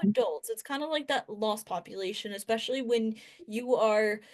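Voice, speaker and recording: A woman speaks with an ordinary speaking voice at a moderate pace. Her pitch is fairly high, with ordinary variation. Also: quiet background. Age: 20s. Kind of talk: interview answer.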